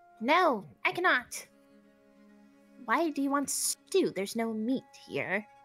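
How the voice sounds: A squeaky, put-on character voice moves at a fairly slow pace with long, frequent pauses while faint music plays in the background. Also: woman, high pitch for a woman.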